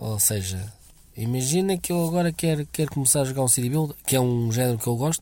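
A man speaks at a very fast pace in a dark, mellow tone. His medium-pitched voice has lively intonation. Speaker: listener sending a voice message. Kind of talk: recorded voice message. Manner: halting.

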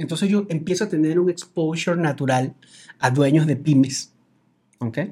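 Talking at a moderate pace with a Venezuelan accent, a man has a fairly high pitch and ordinary pitch variation. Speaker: business coach. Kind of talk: casual chat.

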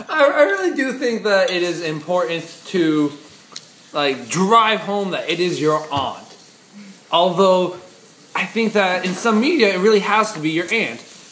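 Lively intonation and an animated tone are broken up by long, frequent pauses. Noticeable background noise and audible room echo surround the voice. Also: man, high pitch for a man. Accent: American. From US East Coast. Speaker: podcast co-host. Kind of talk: casual chat.

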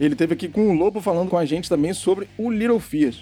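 With lively intonation, a man talks in a high register. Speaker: podcast host. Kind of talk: casual chat.

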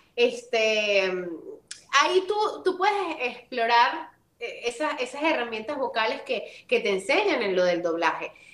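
A woman's high voice, fairly slow in pace, with very wide pitch swings. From Venezuela. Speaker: voice actress and model. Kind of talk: interview.

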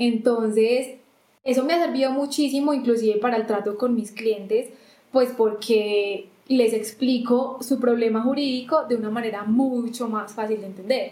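Her pitch fairly high and her tone dark and mellow, a woman speaks at a moderate pace with fairly even intonation. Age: 20s. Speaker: customs lawyer. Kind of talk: interview conversation.

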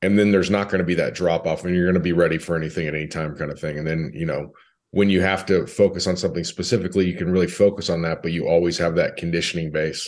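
In an American accent, a man with a very deep, low pitch speaks at a very fast pace with hardly any pauses and fairly even intonation over a quiet background. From California. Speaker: strength coach. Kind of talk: casual chat.

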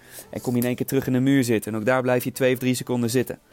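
At a very fast pace, a man with a medium pitch speaks in a dry, close sound with no echo. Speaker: fitness instructor. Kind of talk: guided outdoor bootcamp workout, coaching through timed exercises. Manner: energetic, upbeat, motivating; counts down crisply and gives short commands.

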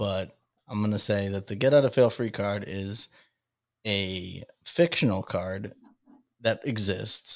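A man with an American accent talks at a fairly slow pace in a fairly low pitch, a plain, everyday voice. The recording is very clean, with a silent background. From Massachusetts (Salem). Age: 30s. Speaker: stand-up comedian and podcaster. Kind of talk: casual interview chat.

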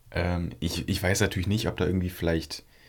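This is a very clean recording with a silent background. A man speaks in a very deep, low voice. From northern Germany, Flensburg area. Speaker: podcast co-host. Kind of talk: casual chat.

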